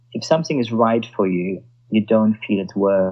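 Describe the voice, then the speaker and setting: A man with a German accent speaks in a dark, mellow tone at a fairly slow pace with ordinary pitch variation. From Germany. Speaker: sommelier. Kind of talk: interview. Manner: halting.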